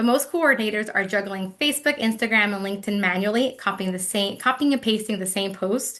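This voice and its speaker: A woman's very fast speech, fairly high in pitch with ordinary pitch variation and a bright, sharp tone, over a quiet background. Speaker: webinar presenter. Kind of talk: webinar presentation. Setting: online webinar.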